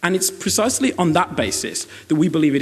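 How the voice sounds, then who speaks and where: Here is a man with a British accent. His pitch is fairly high. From Britain. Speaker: university debater. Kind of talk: competitive debate speech. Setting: stage with audience.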